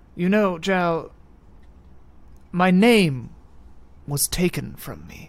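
Someone puts on a character voice at a middle pitch. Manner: fancy, theatrical, genteel.

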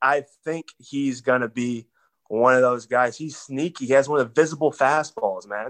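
With an American accent and an unremarkable speaking voice, the speaker keeps a moderate pace and fairly even intonation. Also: man, medium pitch for a man. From Texas. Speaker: baseball prospect. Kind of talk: casual chat.

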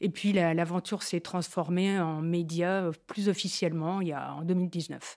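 A woman with a fairly low pitch speaks at a fairly slow pace in a flat monotone, with hardly any pauses, on a very clean recording against a silent background. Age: 60s. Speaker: media founder. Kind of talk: casual chat. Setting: studio.

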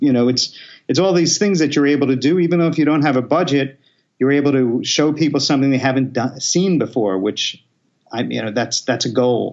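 Here is a man with a slight New York accent. His voice sits at a medium pitch. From Queens, New York. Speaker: film director. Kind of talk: casual interview chat.

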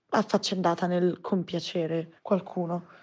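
At a fairly slow pace, a woman speaks with a medium pitch and fairly even intonation against a quiet background. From provincial Italy. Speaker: listener sharing personal story. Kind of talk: testimony.

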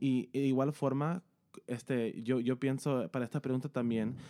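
This very clean recording with a silent background has a dry, close sound with no echo, as a man at medium pitch speaks fairly slowly in a dark, mellow tone with fairly even intonation. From US, Los Angeles, California. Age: young. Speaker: worship leader and singer. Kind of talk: casual chat about worship.

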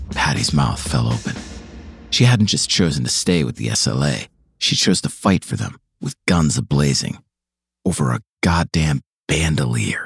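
A man's very deep, low pitch with very wide pitch swings, a fairly slow pace, long, frequent pauses and a dry, close sound with no echo. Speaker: podcast host and narrator. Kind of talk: dramatic narration of a true-crime story, scripted and tense. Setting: studio. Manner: gripping, suspenseful, punchy, cinematic.

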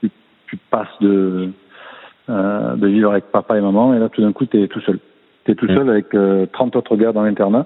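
Speaking at a fairly low pitch with fairly even intonation, a man leaves long, frequent pauses. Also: moderate pace. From southern France, Martigues (Provence). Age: 40s. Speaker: swimming coach, former swimmer. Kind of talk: interview.

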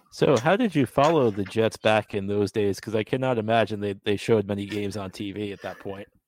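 A man with an American accent talks at a fairly quick pace, with fairly low pitch and ordinary pitch variation in an ordinary speaking voice. The sound is dry and close, with no echo. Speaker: podcast host. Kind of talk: casual interview chat.

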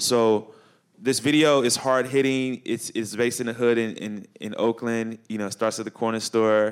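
The speaker has a Chicago accent. The pace is moderate. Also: man. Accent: Chicago American. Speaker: climate educator and artist. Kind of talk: panel discussion. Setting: stage with audience at a high school. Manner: animated.

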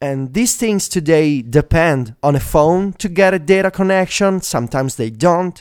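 A man with an Italian accent talks at a high pitch, his intonation lively. He barely pauses at all. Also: moderate pace. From Italy. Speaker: tech podcast co-host. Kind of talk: casual chat. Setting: remote call.

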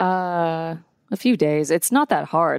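Very clean and silent in the background, this recording has a dry, close sound with no echo. A woman with an American accent speaks in a very deep, low pitch. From Atlanta, US South. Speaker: graphic designer and animator. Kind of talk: casual chat.

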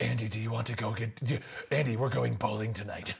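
In a put-on character voice, a man talks at a fairly quick pace with a raspy, medium-pitched sound. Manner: flat, deadpan.

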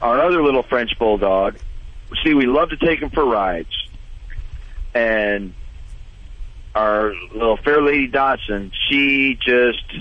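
Over noticeable background noise, the speech moves at a very slow pace with long, frequent pauses and ordinary pitch variation. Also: man, medium pitch for a man. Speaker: caller, dog owner. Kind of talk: casual chat. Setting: phone call.

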